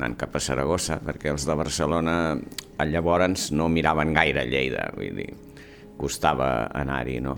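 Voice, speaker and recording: Amid noticeable background noise, a man speaks at a moderate pace with a very deep, low pitch. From Catalonia, Mataró (Maresme). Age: 70s. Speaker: surgeon and former university rector. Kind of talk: interview. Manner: halting.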